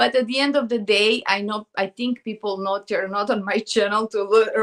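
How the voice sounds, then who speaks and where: Speaking at a moderate pace in a Serbian accent, a woman with a fairly high pitch keeps a fairly even intonation, recorded with a dry, close sound with no echo. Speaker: artist and video creator. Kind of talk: live stream chat. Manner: halting.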